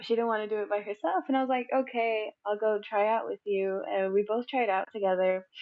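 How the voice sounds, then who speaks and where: A woman speaks at a fairly quick pace in a plain, everyday voice. Her pitch is fairly high, with ordinary variation. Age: 20s. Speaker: college student, podcast guest. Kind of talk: casual chat.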